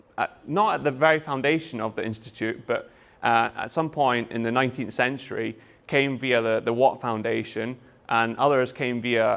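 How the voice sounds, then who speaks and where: Recorded very cleanly against a silent background, a man with a Scottish accent speaks at a moderate pace with fairly even intonation. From Scotland. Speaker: university lecturer. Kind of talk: lecture.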